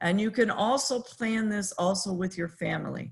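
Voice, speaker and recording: Very slowly, a woman speaks in a somewhat breathy medium pitch with ordinary pitch variation. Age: 60s. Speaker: professor. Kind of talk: lecture. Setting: video call. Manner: halting.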